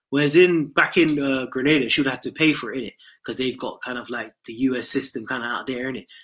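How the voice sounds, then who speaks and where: A man with a British accent talks at a very fast pace and medium pitch, his intonation fairly even and his loudness swinging widely. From United Kingdom. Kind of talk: call-in discussion.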